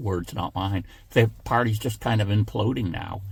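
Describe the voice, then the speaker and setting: Speaking at a fairly slow pace, a man with a fairly low pitch sounds somewhat breathy and uses ordinary pitch variation. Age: 70s. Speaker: political commentator YouTuber. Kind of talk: casual political monologue. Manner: halting, many fillers.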